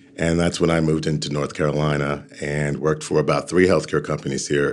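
Fairly quick, monotone, flat speech from a man in a very deep, low voice with an American accent. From New York City. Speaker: leadership coach and organizational development consultant. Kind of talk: interview.

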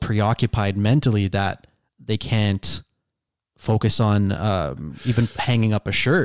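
A man speaks with a Toronto accent, his pitch fairly low with ordinary variation. The sound is dry and close with no echo, on a very clean recording with a silent background. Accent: Canadian (Toronto). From Canada, Toronto. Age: 20s. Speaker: YouTuber and stand-up comedian. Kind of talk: casual chat. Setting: home garage studio.

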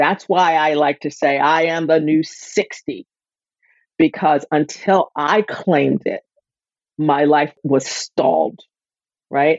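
A woman at a very slow pace, with a very deep, low pitch, fairly even intonation, and long, frequent pauses. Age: 60s. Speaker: wellness coach. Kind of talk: casual interview chat.

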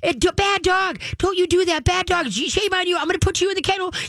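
An extremely high-pitched put-on character voice runs at a fairly quick pace over light background noise. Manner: scolding.

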